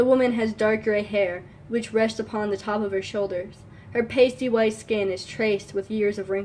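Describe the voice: Fairly even intonation in plain reading aloud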